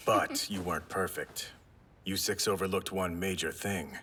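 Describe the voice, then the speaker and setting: A man uses a put-on character voice with a stern tone and fairly low pitch. He speaks at a moderate pace over clear background noise. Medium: fan dub. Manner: dry, flat, stern.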